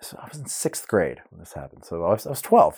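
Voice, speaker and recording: The background is silent in this very clean recording. A man talks with an American accent. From Oklahoma, US. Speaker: orchestra cellist. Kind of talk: casual podcast interview. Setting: studio. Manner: chatty, humorous, quick to laugh.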